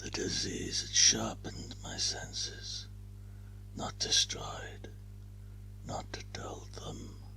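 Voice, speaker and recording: Whispering at a very slow pace, with long, frequent pauses and music in the background. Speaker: ASMR narrator. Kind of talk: whispered story reading. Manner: whispered.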